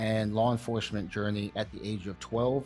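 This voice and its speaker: A man speaks with music playing in the background. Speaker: martial arts interviewer. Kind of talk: introduction to camera.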